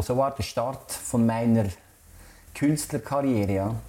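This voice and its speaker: A man talks at a very slow pace with a dark, mellow tone. His pitch is medium and his intonation fairly even. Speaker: artist. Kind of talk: interview. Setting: artist's studio.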